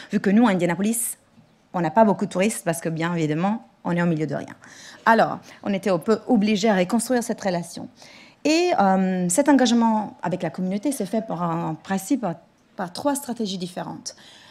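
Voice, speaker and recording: Somewhat breathy speech comes at a fairly quick pace with lively intonation. The recording is very clean, with a silent background. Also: woman, medium pitch for a woman. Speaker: museum director and lecturer. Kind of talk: conference talk. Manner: halting.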